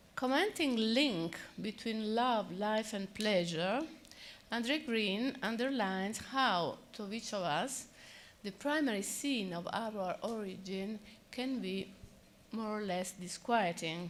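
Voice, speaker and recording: Speaking at a very slow pace with an Italian accent, a woman has a fairly high voice and ordinary pitch variation. Audible room echo surrounds her. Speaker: psychoanalyst. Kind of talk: conference talk.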